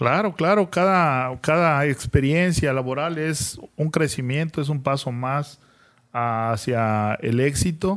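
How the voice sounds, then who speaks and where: Recorded very cleanly against a silent background, the speaker talks at a very slow pace with ordinary pitch variation. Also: man, fairly high pitch for a man. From Chiapas, Mexico. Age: 40s. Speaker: local public servant and farmer. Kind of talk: live video podcast interview. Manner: halting, with many repetitions.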